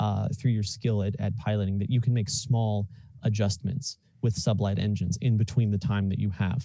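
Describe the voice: The speech is plain reading aloud with fairly even intonation.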